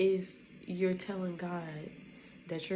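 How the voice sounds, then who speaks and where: Somewhat breathy and dark, mellow in tone, a woman speaks at a fairly low pitch and fairly slow pace in a monotone, flat intonation, with audible room echo. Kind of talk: casual spoken devotional. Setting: at home at night.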